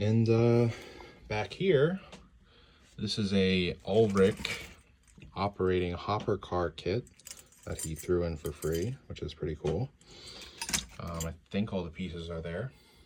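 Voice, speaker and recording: Against noticeable background noise, the talking goes at a fairly slow pace, broken by long, frequent pauses. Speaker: model train hobbyist. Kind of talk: unboxing video. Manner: casual, hesitant with fillers.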